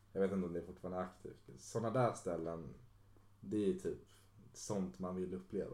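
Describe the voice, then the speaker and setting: Quick-paced and very deep, a man's voice carries a dark, mellow tone, vocal fry, and ordinary pitch variation. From Stockholm, Sweden (Solna). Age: 20s. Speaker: DJ and music producer. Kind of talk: casual chat.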